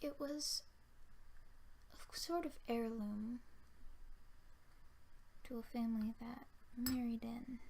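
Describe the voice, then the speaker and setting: The soft-spoken voice moves at a very slow pace, broken by long, frequent pauses. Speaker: ASMR creator. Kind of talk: ASMR talk to camera.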